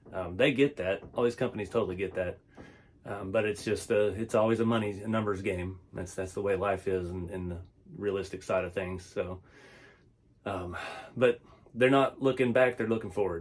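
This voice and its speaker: A man with a Texas accent talks at a moderate pace in a relaxed, somewhat breathy tone, his pitch fairly low with ordinary variation. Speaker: RC hobby YouTuber and small business owner. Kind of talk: casual vlog talk. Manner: relaxed, filler-heavy.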